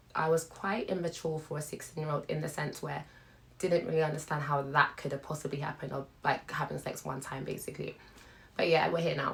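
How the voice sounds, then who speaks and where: A woman with a British accent, very deep and low in pitch, somewhat breathy, with fairly even intonation at a fairly quick pace. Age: 20s. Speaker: YouTuber, stay-at-home mother. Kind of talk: casual vlog chat.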